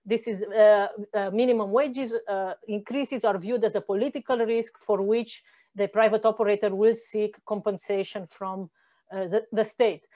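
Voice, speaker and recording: A woman's dark, mellow tone with fairly high pitch, fairly even intonation and a fairly slow pace over a quiet background. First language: not Spanish (speaking Spanish). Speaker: economics professor. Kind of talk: lecture. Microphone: video call.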